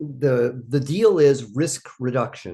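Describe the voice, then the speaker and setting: Against a quiet background, a man talks in a somewhat breathy voice with lively intonation. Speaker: startup advisor answering viewer questions. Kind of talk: Q&A monologue. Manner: casual with filler words.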